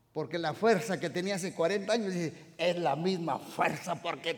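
Raised and projected, a man's bright, sharp voice moves at a fairly slow pace. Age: 60s. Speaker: pastor. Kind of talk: sermon. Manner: animated.

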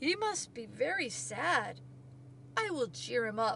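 A woman's put-on character voice, fairly high in pitch and fairly bright in tone, with vocal fry, a slow pace and big pitch swings

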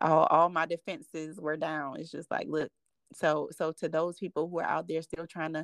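A woman's very deep, low voice with vocal fry, at a moderate pace, in a very clean recording with a silent background and a dry, close sound free of echo. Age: 40s. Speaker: relationship advice guest, card game co-creator. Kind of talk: interview testimony. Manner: halting.

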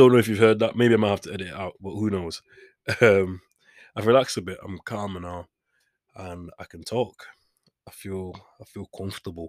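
A man with a Manchester accent, fairly low in pitch, at a fairly quick pace, with fairly even intonation, big swings in loudness and long, frequent pauses, in a dry, close sound with no echo. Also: very clean recording, silent background. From Manchester, England. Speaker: podcast host. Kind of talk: casual solo monologue. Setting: home studio. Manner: rambling, self-deprecating.

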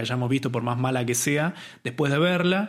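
A man uses lively intonation at a moderate pace in an ordinary speaking voice. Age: 30s. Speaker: film podcast host. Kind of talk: casual chat.

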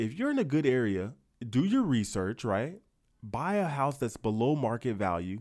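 An animated male voice on a very clean recording with a silent background. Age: 30s. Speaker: barber and YouTuber. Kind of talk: casual monologue.

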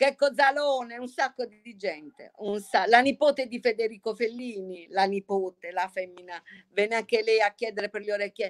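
An ordinary speaking voice from a woman, fairly high pitched with ordinary pitch variation, dry and close with no echo. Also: moderate pace. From Bari, Puglia (old town). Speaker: pasta maker. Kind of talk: casual chat.

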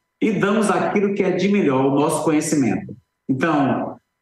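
His voice sits high in pitch. The man's pitch swings very widely. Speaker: eye doctor (ophthalmologist). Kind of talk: promotional explanation on TV. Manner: warm, enthusiastic.

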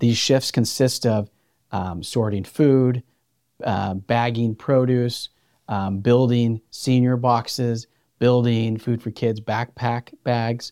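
Very slowly and in a flat monotone, a man speaks with an American accent at a medium pitch. The recording is very clean with a silent background, dry and close with no echo. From Central California, San Joaquin Valley. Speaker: food bank CEO. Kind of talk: podcast interview.

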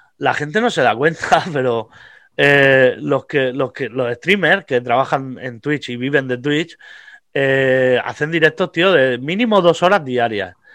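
Over a quiet background, a man speaks at a very slow pace in a fairly high pitch with ordinary pitch variation. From Vega Baja, Alicante, Spain. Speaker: comedian. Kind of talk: casual chat.

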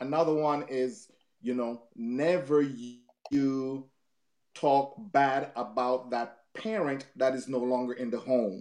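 This man's voice sits at a medium pitch. He talks at a very slow pace. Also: ordinary pitch variation. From Jamaica. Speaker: marriage counselor and author. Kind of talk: interview. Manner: repetitive, halting.

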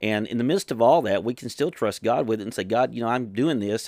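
This very clean recording, with a silent background, features a man in a normal speaking voice. He talks at a fairly quick pace with fairly even intonation. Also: dry, close sound with no echo. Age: 50s. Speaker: pastor. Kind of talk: sermon.

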